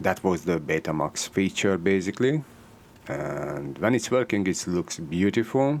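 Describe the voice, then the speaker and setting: Speaking fairly slowly with a Hungarian accent, a man uses a very deep, low voice with very wide pitch swings. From Hungary. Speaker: electronics repair technician. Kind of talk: tutorial. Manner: halting.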